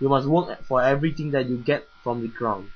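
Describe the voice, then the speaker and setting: The pace here is fairly quick. It is a normal speaking voice, and its pitch varies in an ordinary way. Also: man. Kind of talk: bedtime Bible story reading for children.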